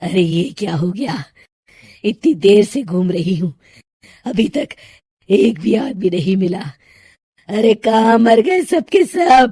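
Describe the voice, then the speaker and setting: A put-on character voice, raspy and cackling, carries a menacing tone. It moves at a fairly slow pace with long, frequent pauses. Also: woman, medium pitch for a woman. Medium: read story. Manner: cackling, menacing.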